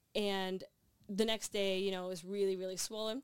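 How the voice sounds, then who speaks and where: A woman with a Canadian accent and an unremarkable speaking voice, medium in pitch, fairly quick in pace, on a very clean recording with a silent background. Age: 30s. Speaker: athlete and sports broadcaster. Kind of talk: interview.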